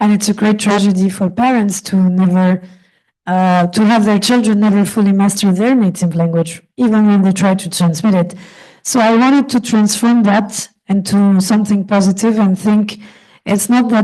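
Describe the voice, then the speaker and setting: A woman's medium-pitched, somewhat breathy voice has a dark, mellow tone. She keeps a moderate pace, fairly even intonation and very even loudness. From France, Paris. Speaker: film director. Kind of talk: panel discussion.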